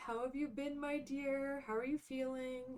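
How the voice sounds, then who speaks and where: A woman with an American accent speaks fairly slowly at a high pitch. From Maine, US. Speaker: streamer. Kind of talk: casual chat. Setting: live stream. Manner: softer volume than usual.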